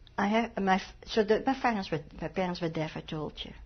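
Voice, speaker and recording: Moderately paced speech from a woman, somewhat breathy. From Netherlands, Amsterdam. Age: 70s. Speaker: Holocaust survivor. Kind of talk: oral history interview. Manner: halting.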